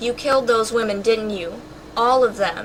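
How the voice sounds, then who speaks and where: A woman puts on a shaky character voice at a fairly high pitch, with fairly even intonation. She speaks at a moderate pace against clear background noise. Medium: read story. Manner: frightened, trembling.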